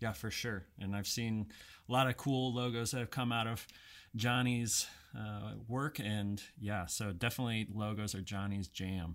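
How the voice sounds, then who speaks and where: A man has a plain, everyday voice with a fairly low pitch. He keeps a moderate pace and ordinary pitch variation on a very clean recording with a silent background. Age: 30s. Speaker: podcast host, marketing executive. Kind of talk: casual interview.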